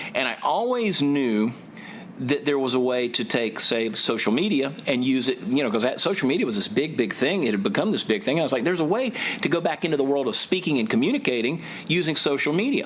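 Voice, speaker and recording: Over noticeable background noise, a man with a fairly high pitch talks at a very fast pace and at a very even loudness. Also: lively intonation. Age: 40s. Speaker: comedian. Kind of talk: interview answer. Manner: fast-talking.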